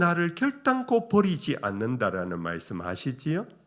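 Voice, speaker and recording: The pace is fairly slow as a man talks. His pitch moves up and down very widely. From Korea, Daegu. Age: 60s. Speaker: retired pastor. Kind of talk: sermon.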